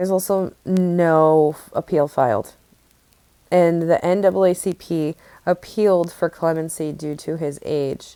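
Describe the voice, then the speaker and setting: Dry and close with no echo, the recording captures a woman whose fairly low, dark, mellow voice keeps fairly even intonation. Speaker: true crime podcaster. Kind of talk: casual talk to camera.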